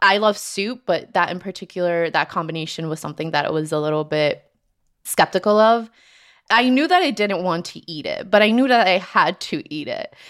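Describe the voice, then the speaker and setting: A woman speaks in an unremarkable speaking voice at medium pitch, her intonation lively. The recording is very clean, the background silent. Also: moderate pace. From Colombia, raised in New Jersey. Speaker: guest telling personal story. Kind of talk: personal storytelling.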